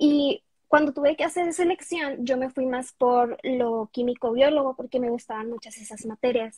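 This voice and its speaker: The intonation stays fairly even. The pace is moderate. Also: woman. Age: 20s. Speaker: medical student and content creator. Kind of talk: interview.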